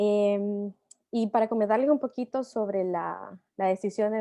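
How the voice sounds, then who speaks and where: In a Latin American accent, a woman speaks at a medium pitch with a dark, mellow tone and fairly even intonation, in dry, close sound with no echo over a quiet background. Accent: non-Argentine Latin American Spanish. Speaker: tech company employee, immigrant speaker. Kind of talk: panel talk.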